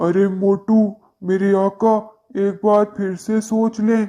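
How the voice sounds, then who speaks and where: This cartoonish character voice sits fairly high in pitch and moves at a fairly slow pace with monotone, flat intonation. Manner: theatrical, laughs grandly.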